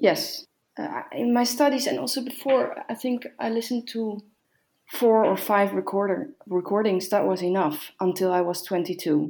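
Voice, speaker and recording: Lively intonation in a Dutch accent, with a dark, mellow tone and a moderate pace. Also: woman, medium pitch for a woman. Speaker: organist and harpsichordist. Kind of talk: casual interview. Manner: halting.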